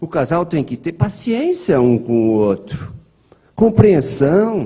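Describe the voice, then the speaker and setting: A somewhat breathy man with a dark, mellow tone and very wide pitch swings. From Brazil, interior of São Paulo state. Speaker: spiritist lecturer. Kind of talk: lecture. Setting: spiritist center hall with audience, streamed online. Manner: conversational.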